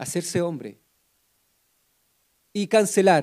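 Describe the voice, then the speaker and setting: A man speaks at a high pitch in a dark, mellow tone. His pace is fairly slow. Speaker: preacher. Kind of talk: sermon. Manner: soft-spoken.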